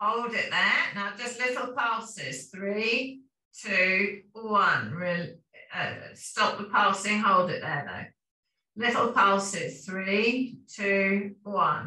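A woman with a British accent speaks in a calm tone at a medium pitch and a very slow pace, with audible room echo over a quiet background. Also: ordinary pitch variation. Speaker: fitness instructor. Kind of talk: guided exercise class. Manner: calm, rhythmic, steady cueing; instructional, repetitive commands. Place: home room. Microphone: camera far.

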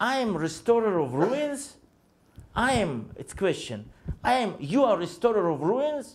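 Very slowly, a man speaks in a high voice with very wide pitch swings. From Israel. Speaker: pastor. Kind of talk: sermon. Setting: church. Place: church.

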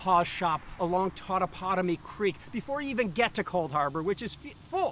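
With a raised, projected voice and lively intonation, a man talks at a moderate pace, the sound dry with no echo and light background noise behind him. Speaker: historian guide. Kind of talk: lecture. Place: open country. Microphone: lapel.

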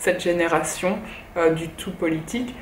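A woman at a fairly slow pace, with light background noise and audible room echo. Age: 30s. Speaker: YouTuber and blogger; YouTuber, blogger. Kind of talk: book review monologue. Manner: halting. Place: home room. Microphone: phone near.

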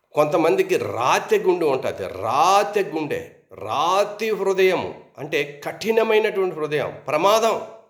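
A man with a high-pitched voice and ordinary pitch variation speaks over noticeable background noise, with audible room echo. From Andhra Pradesh, Srikakulam area. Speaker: pastor. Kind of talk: sermon.

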